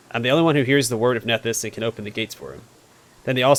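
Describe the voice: The clip consists of plain reading aloud.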